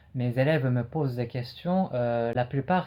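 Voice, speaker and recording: A man talks at a moderate pace against a quiet background. His tone is dark and mellow, and somewhat breathy. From Japan. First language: Japanese (speaking French). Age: 20s. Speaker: French teacher and learner. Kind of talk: personal retrospective monologue. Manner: hesitant with frequent fillers.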